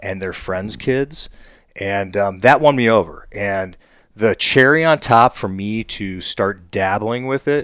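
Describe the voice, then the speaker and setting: Heard on a very clean recording with a silent background, the speaker talks at a fairly slow pace with a Midwestern American accent. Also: man. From US Midwest (Ohio). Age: 40s. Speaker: hunter. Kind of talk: casual chat. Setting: in a shop. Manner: halting, many fillers.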